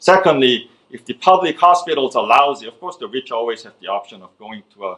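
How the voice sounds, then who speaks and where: Speaking with a Korean accent, a man moves at a fairly quick pace. His tone is bright and sharp, with lively intonation. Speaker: economist. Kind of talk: lecture. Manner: halting, many fillers and restarts.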